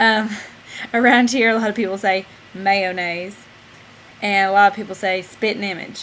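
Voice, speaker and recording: A woman speaks in a Southern US accent at a medium pitch. Her moderate pace is broken by long, frequent pauses. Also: fairly even intonation. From Southern United States. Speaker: vlogging mom. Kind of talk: casual talk to camera.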